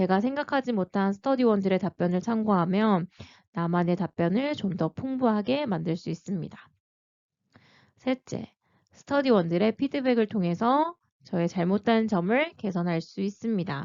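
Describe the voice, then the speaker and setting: Lively in intonation, a woman talks at a moderate pace in an ordinary speaking voice of medium pitch. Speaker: teacher-librarian and exam-prep youtuber. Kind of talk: tutorial.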